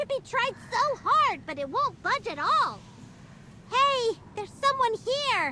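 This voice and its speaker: An extremely high-pitched, put-on character voice goes at a fairly slow pace over clear background noise. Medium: video game. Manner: refers to self in third person.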